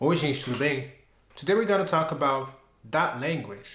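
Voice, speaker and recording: Over background music and audible room echo, a man speaks with a fairly high pitch and lively intonation. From Belgium. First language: French. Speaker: YouTuber, language learner. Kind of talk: personal vlog narration.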